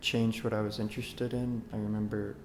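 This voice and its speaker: A man with an American accent speaks at a fairly low pitch with ordinary pitch variation. There is audible room echo and music in the background. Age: 20s. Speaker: oncology clinical research coordinator. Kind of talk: interview monologue. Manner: halting, many fillers.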